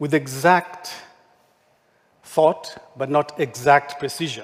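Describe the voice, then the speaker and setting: A man with a non-native accent talks very slowly in a fairly high voice, his intonation fairly even. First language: not English. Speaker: architect. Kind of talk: conference talk.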